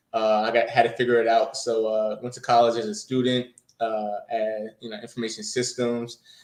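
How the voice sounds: With audible room echo, a man with an American accent speaks in a slightly mellow tone and monotone, flat intonation. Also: medium pitch for a man, moderate pace.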